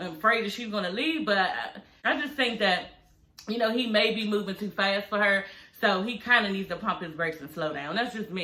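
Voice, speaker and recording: Moderate pace, medium pitch, and an American accent from a woman, with noticeable background noise. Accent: DC accent, some call it heavy. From Washington DC. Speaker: reality TV recap commentator. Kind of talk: casual recap commentary. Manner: animated, conversational.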